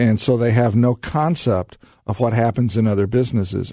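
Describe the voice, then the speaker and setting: In a normal speaking voice, a man talks at medium pitch and a moderate pace. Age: 50s. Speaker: business consultant. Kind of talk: radio interview.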